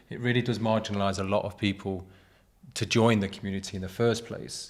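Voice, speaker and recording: The speaker has a British accent and a monotone, flat intonation, and talks at a fairly quick pace. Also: man. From Britain. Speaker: graphic designer. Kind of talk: casual chat.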